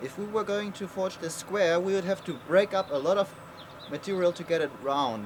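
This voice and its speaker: A man with a non-native accent speaks at a moderate pace in a high pitch. His pitch varies in an ordinary way, and there is noticeable background noise. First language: not English. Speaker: blacksmith. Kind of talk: tutorial. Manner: casual with fillers.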